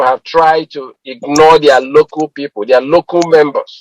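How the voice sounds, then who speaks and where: Recorded with a dry, close sound and no echo, a man with a plain, everyday voice speaks at a fairly high pitch with ordinary pitch variation. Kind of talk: radio talk show host interviewing a guest.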